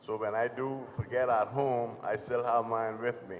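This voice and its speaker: A man's monotone, flat delivery at a fairly slow pace. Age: 70s. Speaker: panelist at health fair, diabetes patient. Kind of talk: testimony. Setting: community center event with audience.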